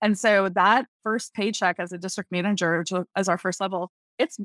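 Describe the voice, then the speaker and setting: This woman has a plain, everyday voice and an American accent. She speaks at a moderate pace with a medium pitch. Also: dry, close sound with no echo. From US South, Tallahassee, Florida. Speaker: network marketing leader. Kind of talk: interview.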